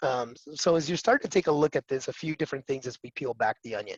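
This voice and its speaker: A fairly high-pitched man in an American accent, lively intonation, a very fast pace, and a dry, close sound with no echo. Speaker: cloud security vendor presenter. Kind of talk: webinar presentation.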